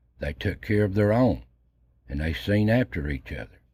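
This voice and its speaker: Very deep and low in pitch, a man speaks somewhat breathily with a dark, mellow tone, lively intonation and a moderate pace, on a very clean recording with a silent background. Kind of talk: documentary narration.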